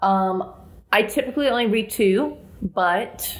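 A woman in a Southern US accent speaks at a very slow pace. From US South. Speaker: podcast co-host. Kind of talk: casual chat about books and films.

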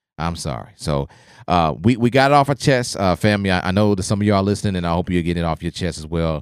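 In a very clean recording with a silent background and a dry, close sound with no echo, a man speaks very fast in a very deep, low voice with lively intonation. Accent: American. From Oklahoma. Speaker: podcast host. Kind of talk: casual discussion. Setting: studio. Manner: animated.

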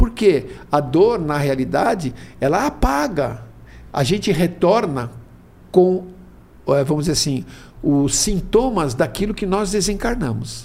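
Pitched high, a man talks fairly slowly, and his pitch swings very widely. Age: 70s. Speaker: spiritist speaker. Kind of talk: casual chat.

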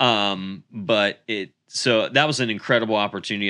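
Against a quiet background, a man talks in a bright, sharp tone with ordinary pitch variation. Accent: American. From Pennsylvania, Centre County. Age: 30s. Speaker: pastor. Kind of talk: casual chat.

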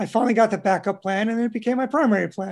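Recorded very cleanly against a silent background, the speaker talks at a fairly quick pace. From New York. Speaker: insurance agent. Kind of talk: interview.

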